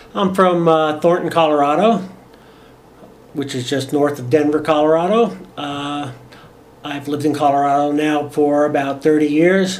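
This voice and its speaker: Here a man with an American accent speaks at a fairly high pitch. Audible room echo and noticeable background noise come through. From New Jersey, US East Coast. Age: 60s. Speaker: medical cannabis patient. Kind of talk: interview testimony. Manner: halting, many fillers.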